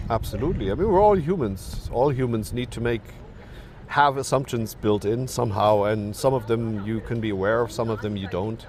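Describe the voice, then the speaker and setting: Over noticeable background noise, a man with a German accent talks fairly quickly at a medium pitch with ordinary pitch variation. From Germany. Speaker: professor. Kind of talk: podcast interview. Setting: recorded with bird sounds in background.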